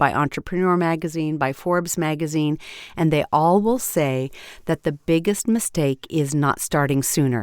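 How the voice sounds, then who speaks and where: On a very clean, dry, close recording with no echo and a silent background, a woman with a very deep, low pitch speaks at a moderate pace with ordinary pitch variation. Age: 60s. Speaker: podcast host and voice coach. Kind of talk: solo podcast talk. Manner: conversational.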